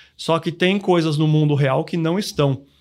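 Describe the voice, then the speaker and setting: A man talks in a plain, everyday voice at a fairly high pitch. The recording is very clean, with a silent background. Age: 40s. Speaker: financial planning educator. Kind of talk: podcast interview.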